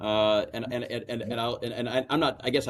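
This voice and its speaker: A man with an American accent talks at a very fast pace. His pitch sits in the medium range. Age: 60s. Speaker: family business owner, banker. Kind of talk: interview. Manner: halting, many repetitions and fillers.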